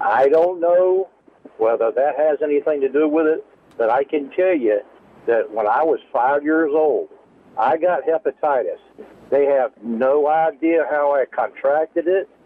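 A man speaks with an unremarkable speaking voice at a fairly high pitch. His pace is fairly slow, with ordinary pitch variation. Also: very even loudness. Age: 60s. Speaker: caller. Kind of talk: call-in. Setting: phone call.

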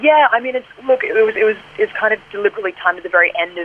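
A woman with an Australian accent at a very fast pace, over noticeable background noise. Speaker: singer and songwriter. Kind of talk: radio interview. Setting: phone call.

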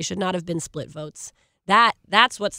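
A woman with a fairly low pitch, vocal fry and a bright, sharp tone speaks with ordinary pitch variation in a dry, close sound with no echo. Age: 20s. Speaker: youth activist organizer. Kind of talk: panel discussion.

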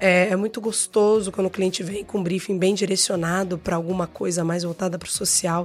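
Against music in the background, a woman talks at a fairly quick pace with hardly any pauses, her medium-pitched voice monotone and flat. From Rio de Janeiro, Brazil. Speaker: advertising creative director and actress. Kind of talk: casual chat.

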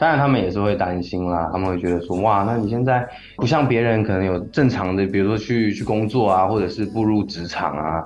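Hardly pausing, a man talks at a fairly quick pace over noticeable background noise. His fairly low voice shows ordinary pitch variation. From Taiwan. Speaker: singer-songwriter. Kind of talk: interview. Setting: radio studio.

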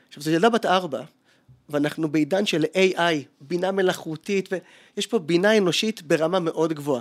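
Speaking at a fairly quick pace with long, frequent pauses, a man with a high pitch and ordinary pitch variation is heard in a dry, close sound with no echo. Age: 40s. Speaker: advertising copywriter and creativity lecturer. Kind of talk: interview conversation.

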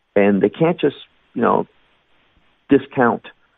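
A man is speaking. He has a Chicago accent. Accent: Chicago American. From US Midwest, Chicago. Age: 50s. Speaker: Bible teacher. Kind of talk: interview.

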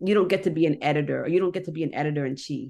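A woman speaks in a normal speaking voice with an American accent. Her pitch is fairly low, with ordinary variation. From Annapolis, Maryland, US. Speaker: newspaper editor. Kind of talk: interview.

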